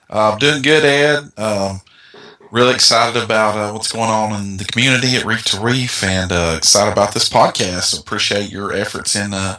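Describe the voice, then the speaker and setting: A man with a Southern US accent speaks at a moderate pace in a fairly low voice with ordinary pitch variation, over noticeable background noise. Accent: Southern country. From US South, North Georgia. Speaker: forum owner. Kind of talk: interview.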